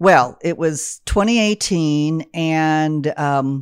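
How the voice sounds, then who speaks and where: On a very clean recording with a silent background, a woman with a very deep, low pitch speaks with an American accent. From Texas, Austin. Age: 60s. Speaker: comedian. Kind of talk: casual chat.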